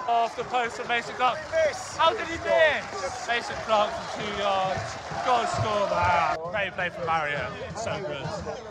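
A man talks at a fairly slow pace. Loud background noise sits behind him. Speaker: football fan vlogger. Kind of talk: excited match commentary. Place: stadium. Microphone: phone near.

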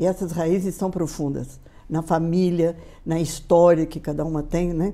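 A woman talks at a fairly slow pace in a dark, mellow tone. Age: 80s+. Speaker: motivational speaker. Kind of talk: interview. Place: studio. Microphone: lapel.

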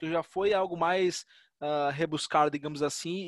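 A man's fairly high voice, a normal speaking voice with fairly even intonation, in a dry sound with no echo. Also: quiet background. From Natal, Rio Grande do Norte, Brazil; Rio Grande do Norte, Brazil. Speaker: data science researcher; guest. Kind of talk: lecture. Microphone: video call.

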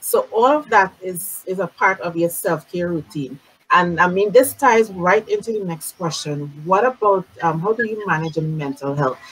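At a moderate pace with hardly any pauses, a woman talks at a medium pitch with lively intonation. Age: 50s. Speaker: beauty industry talk show host; show host. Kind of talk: casual interview. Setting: live-streamed video call. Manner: animated. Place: home room. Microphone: webcam.

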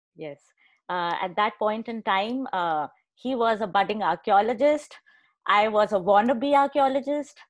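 Against a quiet background, a woman talks at a fairly slow pace. Her intonation is lively and her loudness swings widely. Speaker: host introducing speaker. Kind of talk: speaker introduction. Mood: warm, friendly. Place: home room. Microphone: earbuds.

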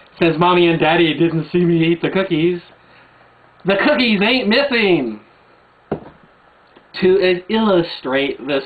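Long, frequent pauses break up a man's fairly slow delivery. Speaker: video blogger. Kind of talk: rebuttal rant to camera. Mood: angry, mocking. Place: home room. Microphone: webcam.

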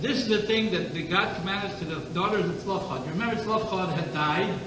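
A man speaks in a raised, projected voice at a moderate pace with ordinary pitch variation. Audible room echo and noticeable background noise surround him. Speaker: rabbi teaching a class. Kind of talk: lecture. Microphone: old recording.

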